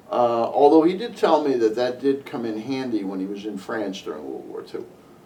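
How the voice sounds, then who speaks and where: A man with an American accent, medium-pitched, talking at a fairly quick pace with lively intonation and big swings in loudness, amid noticeable background noise and audible room echo. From Connecticut, US. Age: 60s. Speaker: interviewee sharing local history memories. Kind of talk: oral history interview. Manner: halting, with many fillers and restarts.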